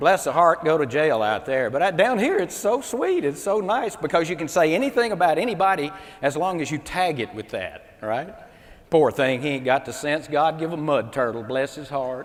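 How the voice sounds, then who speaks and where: With a Mississippi accent, the speaker uses lively intonation at a moderate pace amid noticeable background noise. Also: man, fairly high pitch for a man. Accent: Southern US (Mississippi). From US South, Mississippi. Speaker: comedian and motivational speaker. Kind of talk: stand-up comedy keynote. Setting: stage with audience at a convention. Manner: animated.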